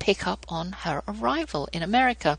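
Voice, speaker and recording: A woman's voice with a British accent. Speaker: homeschooling podcast host. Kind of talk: interview with scripted devotional reading. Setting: radio show.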